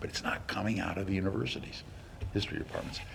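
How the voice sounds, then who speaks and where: Amid audible room echo, a man speaks in an animated tone at a very deep, low pitch. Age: 70s. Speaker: lecturer. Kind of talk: lecture. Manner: halting, many fillers.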